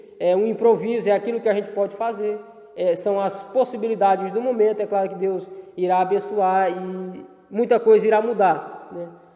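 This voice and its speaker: Noticeable background noise sits behind a man at a high pitch who speaks at a moderate pace in a flat monotone. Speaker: theology teacher. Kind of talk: lecture. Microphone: poor audio quality in video lesson.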